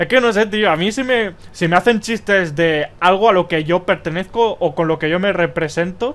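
A man with a high pitch talks at a moderate pace in an animated tone with ordinary pitch variation. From Spain. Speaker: gaming youtuber. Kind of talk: opinion commentary video. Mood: exasperated, ranting.

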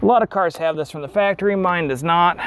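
A man's high-pitched voice with ordinary pitch variation, light background noise, and a dry sound with no echo. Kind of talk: tutorial. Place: garage.

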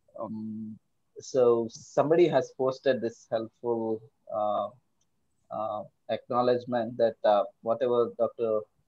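A man with a dark, mellow tone speaks at a very slow pace with fairly even intonation and long, frequent pauses against a quiet background. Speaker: seminar moderator; seminar host or moderator. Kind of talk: casual chat. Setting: video call. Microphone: video call.

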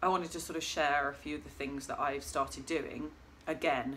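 A woman is speaking. Light background noise sits under her voice. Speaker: vlogger. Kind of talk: casual vlog chat. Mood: calm, reflective. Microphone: phone near.

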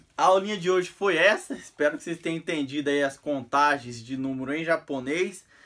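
A man talks at a moderate pace. His intonation is lively and his tone animated. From Brazil. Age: 30s. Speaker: vlogger; amateur teacher vlogger. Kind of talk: casual tutorial. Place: home room. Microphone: phone near.

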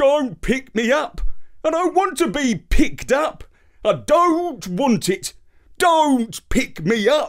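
A man puts on a whiny character voice at an extremely high pitch. He speaks at a fairly slow pace. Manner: whining, pleading.

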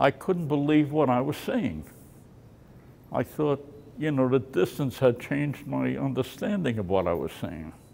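With a New York accent and a dark, mellow tone, a man talks at a moderate pace with very wide pitch swings. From New York City, Brooklyn; New York City. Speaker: war veteran. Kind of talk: testimony. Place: hall. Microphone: studio mic.

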